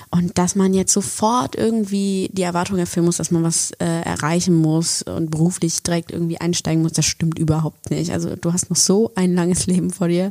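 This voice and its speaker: Speaking at a moderate pace with hardly any pauses, a woman uses a fairly low pitch, a dark, mellow tone and fairly even intonation. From Germany, Bonn. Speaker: podcast co-host, actress. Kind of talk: casual chat.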